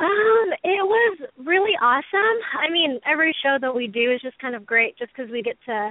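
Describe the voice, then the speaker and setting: The speaker has a Texan accent and lively intonation. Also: woman. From Texas, Houston. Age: 20s. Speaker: hobbyist snake breeder. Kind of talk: interview.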